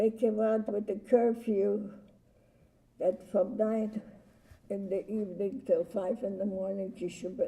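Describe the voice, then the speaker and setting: A woman speaks fairly slowly at medium pitch, leaving long, frequent pauses. Her somewhat breathy voice has a dark, mellow tone and fairly even intonation. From Poland. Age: 80s+. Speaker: Holocaust survivor. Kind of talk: testimony. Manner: halting.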